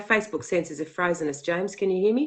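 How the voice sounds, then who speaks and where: Talking at a fairly quick pace, a woman with an Australian accent shows ordinary pitch variation. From Australia, western Sydney. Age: 50s. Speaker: activist researcher. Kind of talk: interview.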